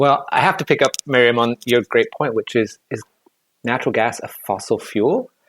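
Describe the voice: A man with a fairly bright tone speaks at a moderate pace. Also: medium pitch for a man, ordinary pitch variation, dry, close sound with no echo.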